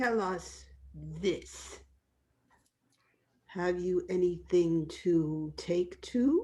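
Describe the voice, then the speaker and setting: In a put-on character voice, a female-sounding speaker talks very slowly at a medium pitch, leaving long, frequent pauses. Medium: stage play. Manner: curt, commanding.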